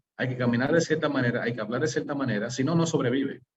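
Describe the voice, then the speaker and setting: Fairly even in intonation, a man speaks at a very fast pace and sounds somewhat breathy. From US, New York City. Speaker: webinar host, management systems consultant. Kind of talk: webinar presentation. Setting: online webinar. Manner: halting, many fillers.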